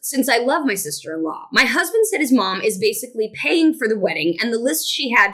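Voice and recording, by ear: The speaker is reading aloud in a natural voice. The delivery moves through the text.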